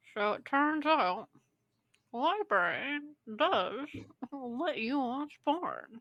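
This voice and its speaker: Pausing long and often, a woman uses a high-pitched put-on character voice at a very slow pace. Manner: talking out of the side of the mouth.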